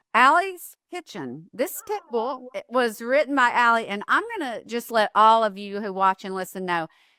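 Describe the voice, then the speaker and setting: A woman with a Southern US accent, fairly high in pitch and bright and sharp in tone, with very wide pitch swings, big swings in loudness, hardly any pauses and a moderate pace, in a dry, close sound with no echo. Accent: Southern US accent like guest's. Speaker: podcast host. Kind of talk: casual interview chat. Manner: animated.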